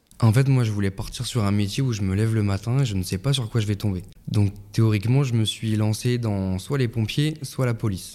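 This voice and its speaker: A man talks at a fairly quick pace and a fairly low pitch. His tone is dark and mellow, with ordinary pitch variation. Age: 20s. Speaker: police officer. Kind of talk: interview. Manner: halting.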